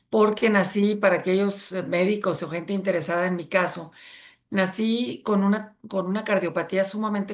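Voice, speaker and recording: A woman talks at a moderate pace, her medium pitch paired with fairly even intonation. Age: 60s. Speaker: near-death experience survivor. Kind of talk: interview testimony. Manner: halting.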